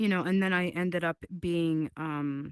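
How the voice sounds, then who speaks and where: Flat and monotone, a woman speaks at a fairly low pitch and a fairly slow pace. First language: not English. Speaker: content creator. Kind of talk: interview. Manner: many fillers, frequent repetitions.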